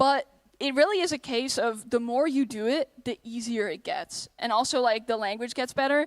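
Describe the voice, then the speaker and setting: With lively intonation and a slight Dutch accent, a woman talks at a moderate pace in a high voice, the sound dry and close with no echo. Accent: slight Dutch accent, often taken for American. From Netherlands. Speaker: convention panelist and streamer. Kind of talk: convention panel Q&A.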